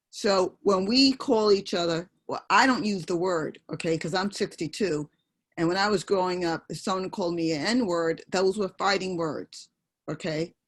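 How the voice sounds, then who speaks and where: Speaking with a New York accent, a woman keeps a medium pitch and a moderate pace, with ordinary pitch variation on a very clean recording with a silent background. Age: 60s. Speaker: audience member. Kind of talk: panel discussion.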